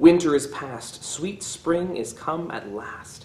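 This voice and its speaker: A man speaks at a very slow pace, with audible echo from the room. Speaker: teacher. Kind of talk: poetry reading then commentary. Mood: warm, cheerful. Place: classroom. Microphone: phone near.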